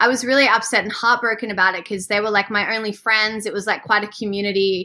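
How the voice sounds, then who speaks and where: Noticeable background noise behind a woman's fairly quick delivery. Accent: Australian. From Australia. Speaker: swimwear brand founder. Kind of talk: casual interview. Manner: animated.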